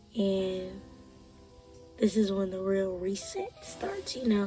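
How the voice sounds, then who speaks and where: With music playing in the background, a woman talks at a fairly slow pace in a medium pitch. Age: 20s. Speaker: college student. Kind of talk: casual talk to camera.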